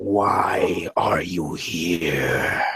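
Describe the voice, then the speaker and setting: Growling, a man performs in a put-on character voice. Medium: actual play. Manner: intense, contemptuous.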